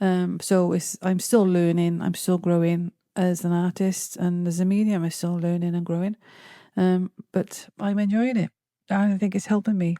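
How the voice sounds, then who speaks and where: A woman's dark, mellow voice at a medium pitch and moderate pace, monotone and flat, with a dry, close sound, no echo, and a very clean recording with a silent background. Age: 60s. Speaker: artist and spiritual medium. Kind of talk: casual chat. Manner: halting.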